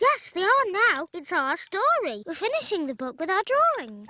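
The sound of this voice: This cartoonish character voice is extremely high-pitched, swinging very widely in pitch at a moderate pace.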